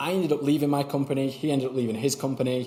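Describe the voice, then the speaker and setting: With noticeable background noise behind him, a man talks with a Mancunian accent. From Manchester, northern England. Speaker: YouTube strategy consultant. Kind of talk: interview conversation. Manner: casual.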